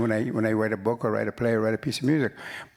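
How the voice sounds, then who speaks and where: This is a man with a medium-pitched voice. Noticeable background noise runs behind him. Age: 70s. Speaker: writer and musician. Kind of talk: panel conversation. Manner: halting.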